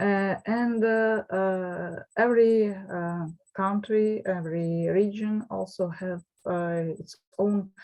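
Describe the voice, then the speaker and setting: Very slow and with a Russian accent, a woman speaks in fairly even intonation. Her loudness swings widely. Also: medium pitch for a woman. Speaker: professor. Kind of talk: lecture. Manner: halting.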